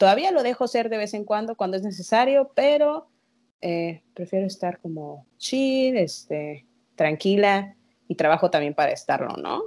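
A woman of medium pitch speaks at a fairly slow pace with very wide pitch swings, on a very clean recording with a silent background. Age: 20s. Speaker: podcast co-host. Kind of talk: casual chat.

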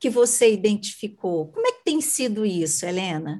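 Her pitch swings very widely as this woman speaks. She goes at a fairly slow pace against a quiet background. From Brazil, Minas Gerais (Jequitinhonha Valley). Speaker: podcast co-host. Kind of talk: casual chat.

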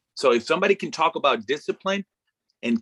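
A man talks at a fairly quick pace with a slight Mexican accent. His tone is bright and sharp. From Mexico. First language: Spanish. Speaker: former baseball pitcher. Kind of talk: casual interview. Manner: animated.

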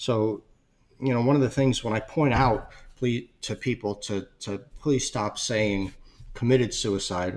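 A man with an American accent speaks very slowly, with ordinary pitch variation. The recording is very clean, with a silent background. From rural US. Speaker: photographer and mental health advocate. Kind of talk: casual interview. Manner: slow, deliberate.

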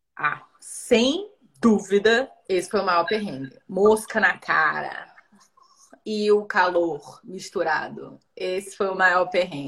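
At a very slow pace, a woman of medium pitch speaks with ordinary pitch variation. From Brazil, São Luís (Maranhão). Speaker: traveller sharing trip experience. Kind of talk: casual interview chat. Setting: online live video call.

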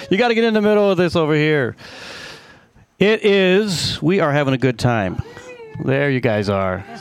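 Over noticeable background noise, a man with a fairly high pitch speaks in an animated tone at a moderate pace, his pitch swinging very widely, his loudness very even, and his pauses long and frequent. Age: 60s. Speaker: radio host. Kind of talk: live radio dj patter. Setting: studio. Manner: jokey, animated, bantering.

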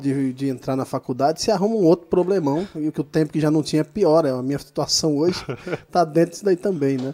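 Dry and close with no echo, the recording captures a man with a fairly high pitch and dark, mellow tone, speaking fairly quickly with ordinary pitch variation. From São Paulo, Brazil (childhood in Minas Gerais). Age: 40s. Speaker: pastor. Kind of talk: casual interview. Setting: studio.

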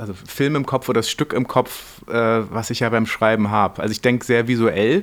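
A man speaks at a moderate pace with ordinary pitch variation on a very clean recording against a silent background. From northern Germany, near Hamburg. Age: 40s. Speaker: screenwriter and playwright. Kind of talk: interview. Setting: theatre upholstery workshop. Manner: halting, many repetitions and fillers.

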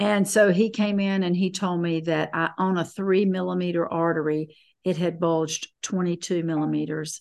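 Fairly low pitch from a woman with a Southern US accent, fairly even intonation, a moderate pace, and hardly any pauses. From US South, North Carolina. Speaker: guest sharing health testimony. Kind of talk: testimony. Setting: video call.

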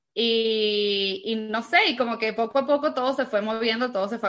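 Against a quiet background, a woman with an ordinary speaking voice talks at a moderate pace with fairly even intonation. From Venezuela. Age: 20s. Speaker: entrepreneur and travel content creator. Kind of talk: casual interview.

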